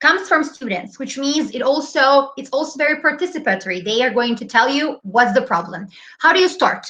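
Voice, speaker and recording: A woman with a high pitch projects her voice loudly at a moderate pace. Her tone is bright and sharp, and her pitch swings very widely. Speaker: preschool English teacher presenting. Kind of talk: webinar presentation. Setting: online webinar.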